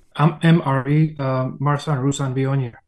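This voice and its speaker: Speaking in a Slovak accent, a man has a dark, mellow tone at a medium pitch, delivered in a monotone, flat manner. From Slovakia. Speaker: winemaker. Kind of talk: casual chat.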